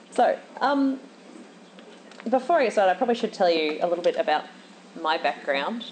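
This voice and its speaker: A woman's pitch swings very widely. Noticeable background noise is present. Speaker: conference speaker, software engineer. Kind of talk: conference talk. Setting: stage with audience. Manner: fast.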